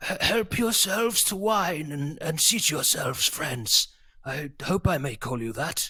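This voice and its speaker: Using a put-on character voice, a man sounds raspy and makes very wide pitch swings. He speaks at a fairly slow pace. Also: fairly high pitch for a man. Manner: weak, faint.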